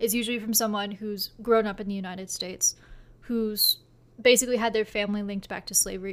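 Over a silent background on a very clean recording, a woman with a fairly high pitch speaks at a fairly quick pace in flat, monotone intonation. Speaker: book podcast co-host. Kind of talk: casual book discussion. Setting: home recording, two mics.

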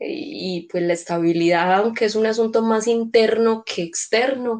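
A woman with a plain, everyday voice, fairly slow pace and ordinary pitch variation. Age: 30s. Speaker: social worker and educator. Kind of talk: casual chat.

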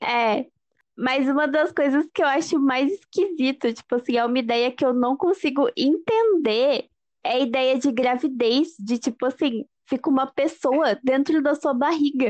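A woman speaks at a high pitch and a fairly slow pace with ordinary pitch variation. Her loudness stays very even, and the sound is dry and close with no echo. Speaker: podcast co-host. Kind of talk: casual chat.

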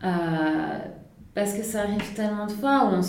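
There is audible room echo and noticeable background noise. Through it, a woman's voice sits at a medium pitch. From southern France, Nice. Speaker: career coach. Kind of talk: casual interview conversation.

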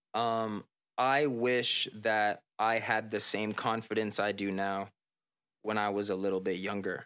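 A man with fairly low pitch and a bright, sharp tone speaks at a fairly slow pace, with fairly even intonation and very even loudness, in a very clean recording with a silent background. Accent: American. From South Florida (Palm Beach). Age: 20s. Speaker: R&B singer and hip-hop artist. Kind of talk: casual interview. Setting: studio, on camera.

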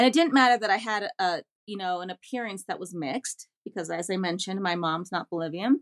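A woman with an American accent at a medium pitch, fairly quick and hardly pausing, lively in intonation with big swings in loudness, in a dry, close sound with no echo. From Washington, D.C. metro area, US. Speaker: language activist and communications strategist. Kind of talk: interview.

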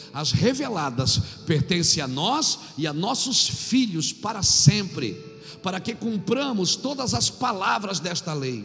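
With music in the background, a high-pitched man speaks at a fairly slow pace, his pitch swinging very widely. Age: 50s. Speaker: pastor. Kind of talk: sermon. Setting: church.

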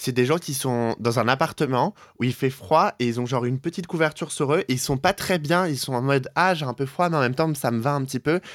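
Dry and close with no echo, a man's plain, everyday voice runs fairly quickly at a fairly high pitch with ordinary pitch variation. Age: 20s. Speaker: podcast co-host. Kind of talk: casual chat. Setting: Skype call.

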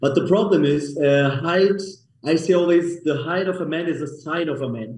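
Audible room echo surrounds a man who speaks at a moderate pace with a fairly high pitch and ordinary pitch variation. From Germany, Munich. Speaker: clinic co-founder. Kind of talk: interview.

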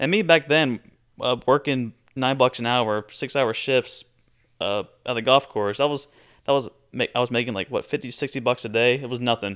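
Recorded very cleanly against a silent background, a man speaks at a medium pitch with a dry, close sound and no echo. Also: moderate pace. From Florida Panhandle (Marianna). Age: 20s. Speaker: podcast host, finance student. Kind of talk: solo podcast monologue. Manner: animated.

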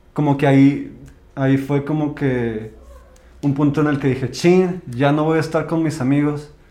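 Fairly high-pitched male voice at a moderate pace, fairly even in intonation, with audible room echo. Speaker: podcast co-host. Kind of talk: casual chat.

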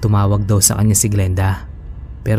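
Music runs in the background. A man's fairly low voice speaks over it.

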